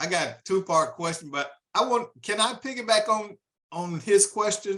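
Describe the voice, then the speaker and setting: A man's raised, projected voice, high-pitched and bright with a sharp edge, at a moderate pace with ordinary pitch variation. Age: 60s. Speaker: audience member, business owner. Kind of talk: audience question.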